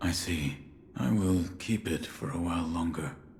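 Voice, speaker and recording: Using a put-on character voice, a man speaks at a very deep, low pitch with ordinary pitch variation amid clear background noise. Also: moderate pace. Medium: video game. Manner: terse, restrained.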